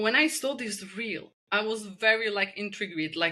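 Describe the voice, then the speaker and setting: A bright, sharp tone in a Czech accent, with lively intonation at a fairly slow pace. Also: woman. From Czech Republic. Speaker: spinal energetics practitioner. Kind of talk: podcast interview.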